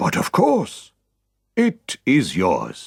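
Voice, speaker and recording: In a put-on character voice, a man speaks at a high pitch. The recording is very clean with a silent background, and the sound is dry and close with no echo. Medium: read story.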